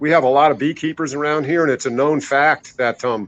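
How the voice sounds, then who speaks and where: Fairly high in pitch, a man speaks in an ordinary speaking voice. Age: 60s. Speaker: herbalist and ginseng grower. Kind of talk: interview. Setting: live online interview.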